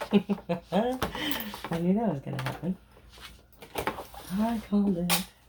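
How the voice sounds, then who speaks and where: A soft-spoken woman talks with ordinary pitch variation over noticeable background noise. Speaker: sewing content creator. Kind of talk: tutorial. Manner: slow.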